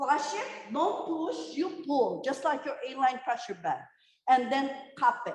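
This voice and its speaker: Loud and high-pitched, a woman speaks at a fairly slow pace with very wide pitch swings and audible room echo. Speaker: nurse educator. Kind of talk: lecture. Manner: loud, emphatic.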